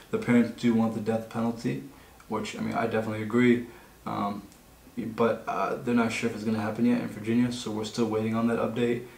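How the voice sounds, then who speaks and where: The speech runs at a very fast pace in a monotone, flat intonation. Room echo is audible. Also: man. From Egypt (Nubian family, southern Egypt). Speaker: podcast co-host. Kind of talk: casual chat. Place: meeting room.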